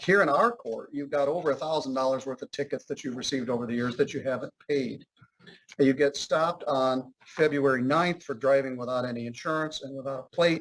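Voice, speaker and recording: A man talks at a fairly quick pace in a fairly high voice. He has a normal speaking voice with fairly even intonation. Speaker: judge. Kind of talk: courtroom proceedings.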